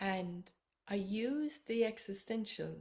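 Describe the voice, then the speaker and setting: Somewhat breathy, a woman speaks with an Irish accent. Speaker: psychotherapist and author. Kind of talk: personal book introduction to camera.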